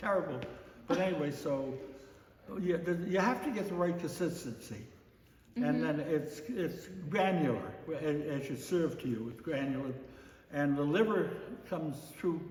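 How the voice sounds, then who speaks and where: Over noticeable background noise, a man with a fairly high pitch speaks at a fairly slow pace with lively intonation and long, frequent pauses. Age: 80s+. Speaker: chairman of a Scottish heritage society. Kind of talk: interview answer. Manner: hesitant, halting.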